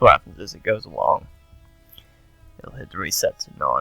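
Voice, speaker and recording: A man mumbles with music in the background. The sound is dry and close, with no echo. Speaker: gaming video tutorial maker. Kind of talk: casual screen-recording tutorial. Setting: poor-quality headset microphone. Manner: mumbled, hesitant.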